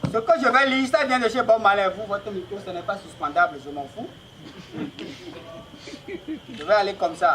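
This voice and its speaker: In a raised, projected voice with a theatrical tone, a man of high pitch speaks at a moderate pace with very wide pitch swings, big swings in loudness and long, frequent pauses over noticeable background noise. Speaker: stand-up comedian. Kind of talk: stand-up comedy show. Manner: loud, theatrical, joking with the audience.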